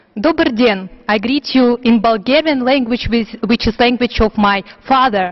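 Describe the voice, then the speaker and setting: There is noticeable background noise as a woman talks in a fairly high pitch. She keeps a fairly slow pace with ordinary pitch variation. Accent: Russian. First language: Russian. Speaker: youth minority rights activist. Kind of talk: formal speech. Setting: international forum conference room.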